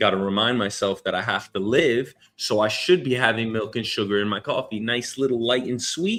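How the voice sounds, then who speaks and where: With a New York accent, a man talks at a fairly quick pace in an animated tone, with ordinary pitch variation and hardly any pauses. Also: medium pitch for a man. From New York City. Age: 30s. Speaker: news show host. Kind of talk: casual solo commentary.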